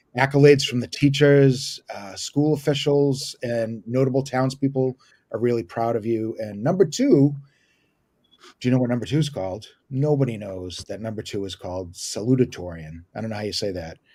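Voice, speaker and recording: Big swings in loudness mark a man's speech at a moderate pace. His pitch is medium, with ordinary variation. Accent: Boston. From US Northeast, Boston area (Watertown). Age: 50s. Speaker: comedian. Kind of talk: stand-up.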